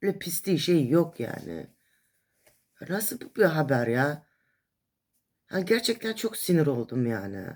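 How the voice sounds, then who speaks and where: A woman with a very deep, low pitch, vocal fry, very wide pitch swings, a very slow pace and long, frequent pauses. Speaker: vlogger. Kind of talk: casual monologue. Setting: hospital. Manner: animated.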